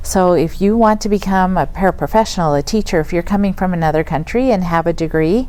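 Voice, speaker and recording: This woman talks at a very fast pace with hardly any pauses and very even loudness. Her medium pitch has a dark, mellow tone and ordinary pitch variation. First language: Spanish. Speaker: school district director, former principal. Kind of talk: podcast interview. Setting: studio.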